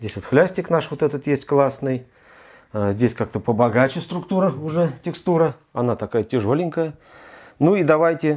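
A man's lively intonation at a moderate pace, broken by long, frequent pauses, over a quiet background. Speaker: tech reviewer. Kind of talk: unboxing tutorial. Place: home room. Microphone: lapel.

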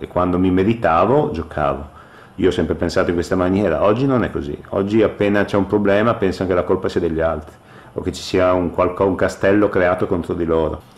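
A man talks fairly quickly in a very deep, low pitch with ordinary pitch variation. There is noticeable background noise. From northern Italy, Ferrara (Emilia-Romagna). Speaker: retired professional football goalkeeper. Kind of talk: radio interview.

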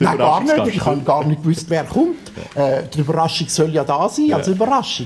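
A man speaks at a moderate pace with a fairly high pitch. Noticeable background noise sits behind him. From Zurich, Switzerland. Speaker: actor and director. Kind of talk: TV talk show guest. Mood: cheerful, amused. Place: studio. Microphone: studio mic.

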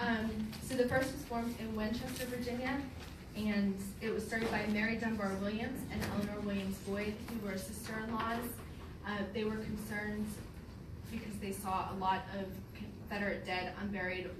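A woman talks at a moderate speed, with noticeable noise behind her. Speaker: presenter. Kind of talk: lecture. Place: hall. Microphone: camera far.

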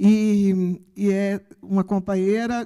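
A woman's voice comes through over a quiet background. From Brazil. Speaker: campus director; speaker, professor. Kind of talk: ceremonial speech. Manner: halting, many fillers. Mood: warm, emotional. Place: stage. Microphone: handheld.

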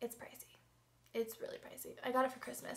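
A woman's voice at a high pitch. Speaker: beauty vlogger. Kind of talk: casual talk to camera. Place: home room. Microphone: webcam.

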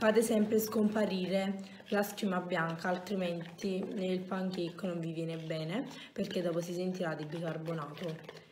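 The speech moves at a fairly slow pace with ordinary pitch variation, over light background noise and audible room echo. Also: woman. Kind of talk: tutorial. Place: home room. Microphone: phone near.

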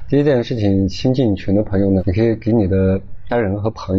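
A man's voice at a fairly low pitch. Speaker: lecturer. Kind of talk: lecture. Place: classroom. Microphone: lapel.

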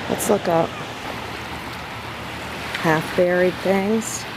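Over loud background noise, a woman speaks at a fairly slow pace in a dry sound with no echo. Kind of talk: tutorial. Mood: enthusiastic, delighted. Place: beach. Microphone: phone near.

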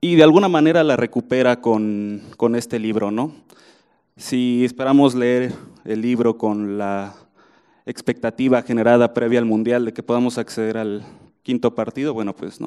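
A man speaks at a moderate pace with a dark, mellow tone and ordinary pitch variation. The background is quiet. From Mexico. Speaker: writer and football chronicler; journalist panelist. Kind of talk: book presentation talk; panel talk at book presentation. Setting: room with audience. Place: hall. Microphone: handheld.

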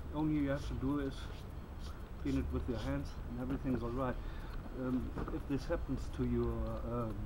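A man with a very deep, low pitch, fairly quick pace broken by long, frequent pauses, ordinary pitch variation, and noticeable background noise. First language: German. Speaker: bushcraft youtuber. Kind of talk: casual outdoor gear tutorial. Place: garden.

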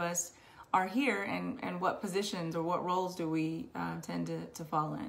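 A woman talks at a moderate pace with a fairly low pitch. Her pitch variation is ordinary. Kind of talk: personal testimony. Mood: earnest, reflective. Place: home room. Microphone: webcam.

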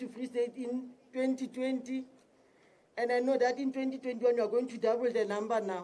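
A woman with a high pitch speaks at a moderate pace. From South Africa. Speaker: provincial police commissioner. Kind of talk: public speech. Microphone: podium.

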